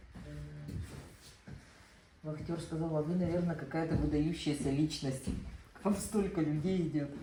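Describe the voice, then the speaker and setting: A woman's very deep, low voice at a very slow pace with fairly even intonation, in audible room echo. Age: 60s. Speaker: cancer survivor attending art class. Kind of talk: casual chat.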